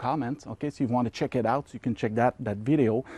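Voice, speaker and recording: A man with a Quebec accent, dark and mellow in tone, in a dry, close recording with no echo. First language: French. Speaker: ham radio hobbyist youtuber. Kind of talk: casual tutorial. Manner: hesitant, filler-heavy.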